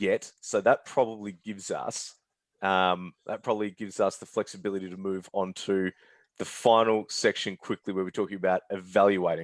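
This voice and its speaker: Flat, monotone intonation at a moderate pace in an Australian accent, with a dry, close sound, no echo and a quiet background. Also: man, fairly low pitch for a man. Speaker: webinar moderator, marketing head. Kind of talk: webinar moderation.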